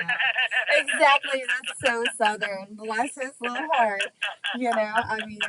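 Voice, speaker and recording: Through noticeable background noise, a woman with an American accent speaks very slowly at a high pitch, with ordinary pitch variation. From Texas. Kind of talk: casual chat.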